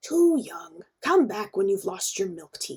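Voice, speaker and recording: A woman's put-on character voice, growling at a medium pitch, at a fairly slow pace. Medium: read story. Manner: ominous.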